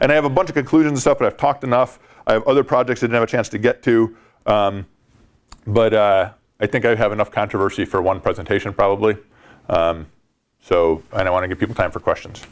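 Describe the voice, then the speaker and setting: A man's medium-pitched, very fast speech with lively intonation, on a very clean recording with a silent background. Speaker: ecological economist, academic researcher. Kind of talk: academic presentation. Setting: workshop with audience. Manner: hesitant fillers.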